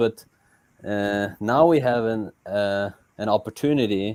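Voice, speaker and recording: A man's fairly low voice has a dark, mellow tone and a dry, close sound with no echo. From Norway. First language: Norwegian. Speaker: crypto community member doing aid work in Africa. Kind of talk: casual livestream chat. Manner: halting, repeats words.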